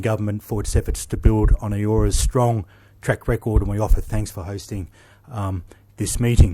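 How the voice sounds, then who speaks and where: The man speaks in an Australian accent with a fairly low pitch and a dark, mellow tone. His intonation is fairly even, on a very clean recording with a silent background. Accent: Australian drawl. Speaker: naval officer. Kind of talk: conference speech.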